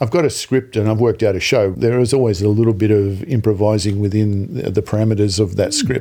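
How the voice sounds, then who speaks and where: A man with an Australian accent talks at a very fast pace with hardly any pauses, his fairly low voice dark and mellow in tone. His loudness stays very even, with ordinary pitch variation. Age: 60s. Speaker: comedian. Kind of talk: interview.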